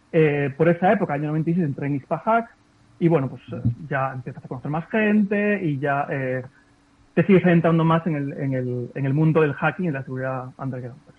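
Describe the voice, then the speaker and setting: In a plain, everyday voice, a man with fairly high pitch talks at a moderate pace with ordinary pitch variation. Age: 40s. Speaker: ethical hacker, cybersecurity entrepreneur. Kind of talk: interview. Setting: video call.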